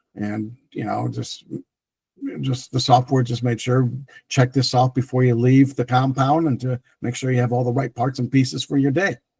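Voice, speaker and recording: A somewhat breathy voice with fairly even intonation, in a dry, close sound with no echo. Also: man, medium pitch for a man, moderate pace. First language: French. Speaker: tech entrepreneur. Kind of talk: interview. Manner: halting, many fillers.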